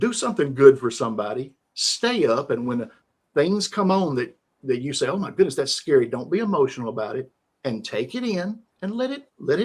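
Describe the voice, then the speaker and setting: A man speaks in a Southern US accent at a fairly quick pace. His somewhat breathy, fairly high voice makes very wide pitch swings. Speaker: live stream host. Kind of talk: casual interview chat. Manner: calm, rhythmic.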